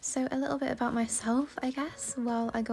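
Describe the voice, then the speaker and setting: This voice has an English accent and ordinary pitch variation. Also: woman. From England. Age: 20s. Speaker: gaming YouTuber. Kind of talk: casual gameplay commentary. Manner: casual, chatty.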